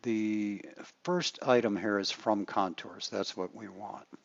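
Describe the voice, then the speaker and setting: An unremarkable speaking voice, fairly slow, its pitch varying in an ordinary way. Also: man. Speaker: architect teaching software. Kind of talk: tutorial.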